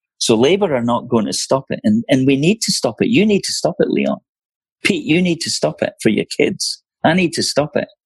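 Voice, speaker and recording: At a fairly quick pace, a man with a Scottish accent talks in a dry, close sound with no echo. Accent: Scottish, noticeable. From Scotland, Leith/Edinburgh working-class. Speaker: senior barrister. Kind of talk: interview conversation.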